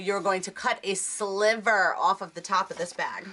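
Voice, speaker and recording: Against noticeable background noise, a woman with an American accent speaks at a medium pitch. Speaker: crafting video creator. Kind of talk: tutorial. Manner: loud; chatty.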